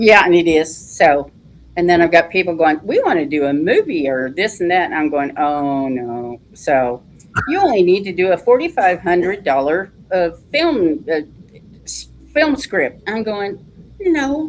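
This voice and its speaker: In a Texan accent, a woman with a fairly low pitch speaks at a fairly slow pace, her voice swinging very widely in pitch over noticeable background noise. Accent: Texan twang. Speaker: author. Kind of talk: interview.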